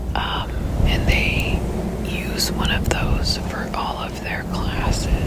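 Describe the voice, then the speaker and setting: Someone whispers at a very slow pace. Noticeable background noise is audible. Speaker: ASMR creator. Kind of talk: ASMR storytelling, whispered; personal anecdote about a former coworker, told to the audience. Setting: close-mic studio recording. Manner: whispered, soft-spoken.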